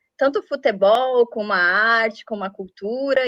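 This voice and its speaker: In a Brazilian accent, a woman speaks at a fairly high pitch with ordinary pitch variation. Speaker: journalist and interviewer. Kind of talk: interview.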